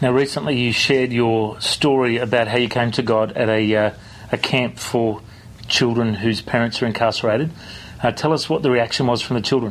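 A medium-pitched man at a fairly quick pace, fairly even intonation, very even loudness, over noticeable background noise. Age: 30s. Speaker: radio host and pastor. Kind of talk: interview.

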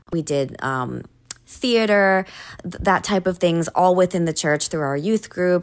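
A woman with a Hawaiian accent and ordinary pitch variation. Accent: Hawaiian American English. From Hawaii (Oahu). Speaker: singer-songwriter. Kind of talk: interview. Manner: hesitant, many fillers.

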